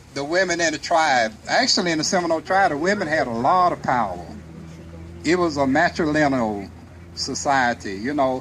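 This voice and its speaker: With noticeable background noise behind him, a man at a fairly high pitch swings very widely in pitch while keeping a moderate pace. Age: 60s. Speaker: historical reenactor. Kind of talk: Q&A talk to audience. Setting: museum event with audience. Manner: halting.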